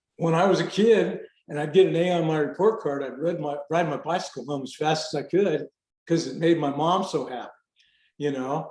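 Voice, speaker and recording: This man has an ordinary speaking voice, fairly high in pitch with ordinary pitch variation, with an American accent. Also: fairly quick pace. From US South. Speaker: retired firefighter and Marine aviator. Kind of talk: interview conversation.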